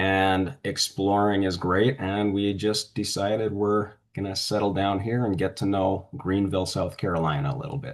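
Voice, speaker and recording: A man with a Canadian accent has an unremarkable speaking voice, fairly low in pitch with ordinary pitch variation. He keeps a moderate pace with hardly any pauses over a quiet background. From western Canada (Alberta). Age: 60s. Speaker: author. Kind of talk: interview.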